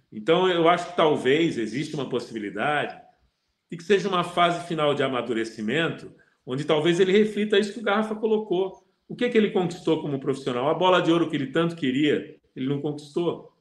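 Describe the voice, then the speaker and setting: A man with a high pitch and lively intonation talks at a fairly quick pace amid audible room echo. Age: 60s. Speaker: football pundit. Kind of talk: casual chat. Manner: halting.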